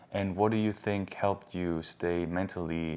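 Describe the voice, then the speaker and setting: This man has an ordinary speaking voice, pitched fairly low. His intonation stays fairly even and his pace is fairly slow. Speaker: interviewer. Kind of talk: casual interview questions.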